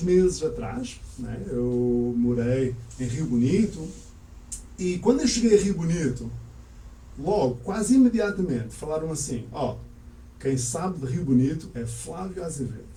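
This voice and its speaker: Very wide pitch swings in a male voice, with audible room echo. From Portugal (Azores heritage), born in Canada. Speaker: language school owner, teacher. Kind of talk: interview. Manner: calm, measured.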